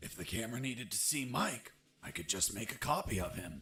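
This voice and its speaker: A raspy, put-on character voice from a man, medium-pitched and fairly quick. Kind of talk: action-game voice-over. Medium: video game.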